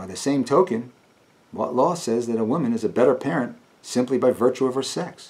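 A man's voice carries a dark, mellow tone. He speaks at a moderate pace with lively intonation. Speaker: actor performing a monologue. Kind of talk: dramatic monologue. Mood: earnest, pleading, emotional. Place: home room.

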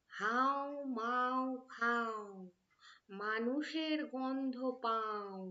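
A shrill, put-on character voice, female-sounding and high in pitch for a woman. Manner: screeching.

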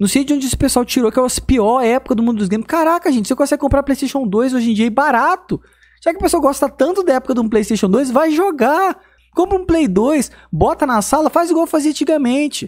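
A man talks very fast in an extremely high voice, his intonation lively. The background is quiet. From Brazil. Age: 30s. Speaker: gaming YouTuber. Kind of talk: casual vlog monologue. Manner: animated. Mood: animated, mildly exasperated. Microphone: studio mic.

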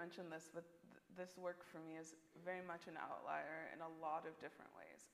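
A woman is speaking. She takes long, frequent pauses. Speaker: contemporary artist. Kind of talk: panel discussion. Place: hall.

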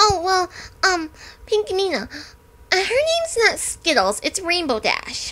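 This female-sounding, put-on character voice is pitched extremely high and moves at a fairly slow pace. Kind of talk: fan audio drama. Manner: upbeat, bubbly.

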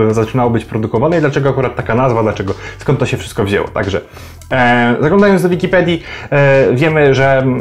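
Words come out at a very fast pace, and the pitch moves in an ordinary way. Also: man. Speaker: wine vlogger. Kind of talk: casual explainer vlog. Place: home room. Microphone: phone near.

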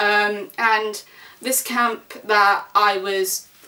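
A woman's fairly high, bright, sharp voice with an English accent. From England. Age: 20s. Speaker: vlogger. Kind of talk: casual vlog monologue. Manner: rambling with fillers. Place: home room. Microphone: camera far.

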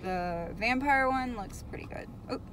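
Dry sound with no echo and light background noise, a fairly slow pace and ordinary pitch variation. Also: woman. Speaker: vlogger. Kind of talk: casual vlog chat. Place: car. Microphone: phone near.

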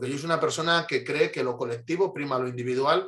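A man rattles along at a very fast pace, intonation fairly even, with a quiet background behind him. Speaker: interview guest. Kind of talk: interview answer. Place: home room. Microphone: video call.

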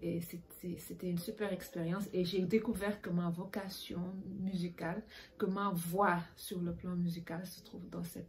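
This woman speaks at a fairly slow pace with fairly even intonation and vocal fry. There is light background noise. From Senegal. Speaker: bassist. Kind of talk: panel discussion. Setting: video call. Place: home room. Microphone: webcam.

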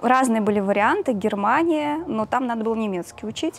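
At a fairly quick pace, a woman speaks with lively intonation and a fairly high pitch.

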